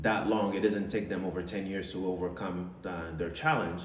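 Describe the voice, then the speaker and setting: Noticeable background noise sits under audible room echo in this recording. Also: man. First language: French. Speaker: entrepreneur, vlogger. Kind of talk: personal testimony monologue. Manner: casual with many fillers.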